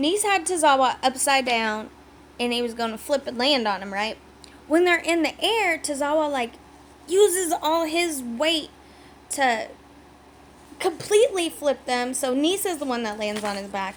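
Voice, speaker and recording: A woman speaks in an animated tone at a fairly slow pace, her high pitch making very wide swings. Noticeable background noise runs underneath. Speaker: wrestling recap YouTuber. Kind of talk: casual recap vlog. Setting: home video recording.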